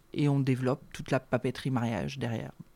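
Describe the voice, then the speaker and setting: A very clean recording with a silent background, delivered at a fairly quick pace. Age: 30s. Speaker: wedding stationery designer. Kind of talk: interview.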